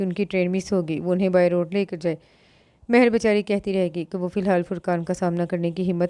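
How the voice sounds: Fairly even intonation in a natural reading voice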